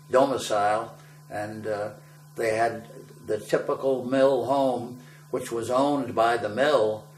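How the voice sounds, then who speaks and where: Over noticeable background noise and audible room echo, a man with an American accent speaks very slowly at a medium pitch with fairly even intonation. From western Massachusetts (Ludlow). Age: 80s+. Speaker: war veteran. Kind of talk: oral history interview. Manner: conversational with hesitations.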